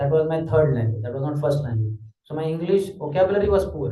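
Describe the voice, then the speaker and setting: A man with a dark, mellow tone speaks at a fairly quick pace. His intonation is lively, and there is audible room echo. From Maharashtra, India. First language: Marathi. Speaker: spiritual teacher. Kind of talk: lecture.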